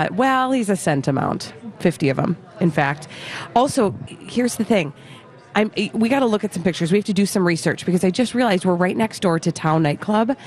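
Speaking fairly quickly at a medium pitch, a woman with a Minnesotan accent has lively intonation and very even loudness. Noticeable background noise is present. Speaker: radio host. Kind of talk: casual chat, radio banter.

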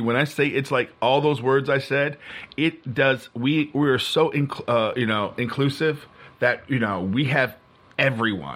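A man's medium-pitched voice, with ordinary pitch variation, is heard against noticeable background noise. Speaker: podcast guest. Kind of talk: casual chat.

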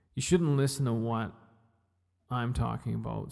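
Here a man is speaking. He has a Western Canadian accent. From British Columbia. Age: 40s. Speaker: podcast host. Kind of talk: solo podcast monologue. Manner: halting.

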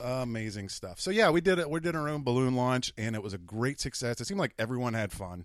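Talking at medium pitch and a very fast pace, this man sounds lively in his intonation. He hardly pauses at all. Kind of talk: casual chat. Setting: home basement studio.

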